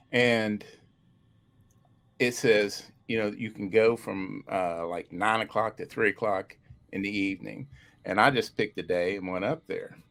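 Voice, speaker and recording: A man with an Appalachian accent at a fairly slow pace, with fairly even intonation and long, frequent pauses. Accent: Appalachian American. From West Virginia. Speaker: paranormal researcher. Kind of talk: casual chat. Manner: halting.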